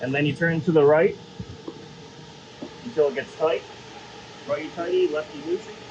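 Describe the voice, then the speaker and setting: A man with a fairly high pitch and ordinary pitch variation, at a moderate pace with long, frequent pauses and noticeable background noise. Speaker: RV dealership product demonstrator. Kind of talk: product walkthrough demonstration. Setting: inside an RV cabin. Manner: loud.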